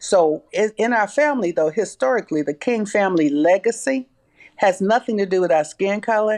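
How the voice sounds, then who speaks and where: The speaker talks at a fairly quick pace in a Southern US accent. The background is quiet. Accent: Southern US (Georgia). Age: 70s. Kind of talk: interview testimony.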